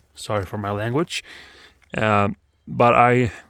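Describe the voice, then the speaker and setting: A man's voice, dry and close with no echo, is captured in a very clean recording over a silent background. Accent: Swedish. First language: Swedish. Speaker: motorbike hobbyist vlogger. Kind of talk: casual vlog. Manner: halting with many fillers.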